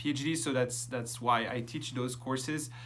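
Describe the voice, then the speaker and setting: A man with a French accent and medium pitch talks with fairly even intonation, with audible room echo around him. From France. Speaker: professor. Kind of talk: lecture. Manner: hesitant, many fillers.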